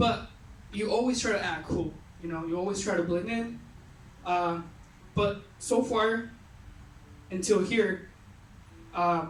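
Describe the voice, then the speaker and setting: The speaker has a Mexican accent and keeps a moderate pace. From Mexico. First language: Spanish. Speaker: youth retreat speaker. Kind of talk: personal testimony talk. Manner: casual, halting with fillers.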